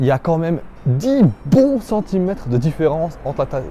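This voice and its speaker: A man speaks in a fairly high voice with very wide pitch swings. Noticeable background noise runs behind him. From Belgium. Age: 20s. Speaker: vlogger. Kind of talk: vlog narration.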